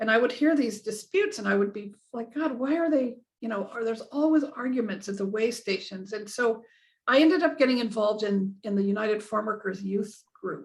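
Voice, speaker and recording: A woman speaks in a fairly high, somewhat breathy voice. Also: ordinary pitch variation, fairly quick pace. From Southern California. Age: 60s. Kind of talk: interview. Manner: halting.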